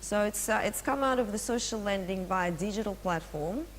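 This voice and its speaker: A woman with a Russian accent speaks at a moderate pace. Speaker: finance executive. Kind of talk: presentation.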